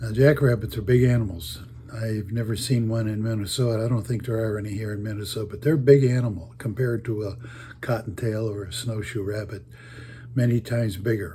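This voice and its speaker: A man talks at a fairly quick pace in a dark, mellow, somewhat breathy tone, with big swings in loudness and fairly even intonation. Room echo is audible. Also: medium pitch for a man. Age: 80s+. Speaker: storyteller. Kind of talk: casual storytelling. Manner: halting.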